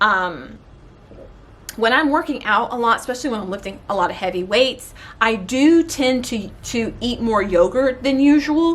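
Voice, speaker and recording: A woman talks at a moderate pace in a plain, everyday voice. Her pitch is fairly high and her intonation lively. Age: 30s. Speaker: beauty and wellness vlogger. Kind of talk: casual vlog talk.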